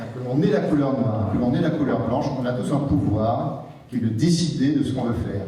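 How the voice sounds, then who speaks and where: A man at medium pitch with ordinary pitch variation and a moderate pace, plus audible room echo and noticeable background noise. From Martinique. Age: 60s. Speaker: writer. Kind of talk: public debate talk. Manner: halting, many repetitions.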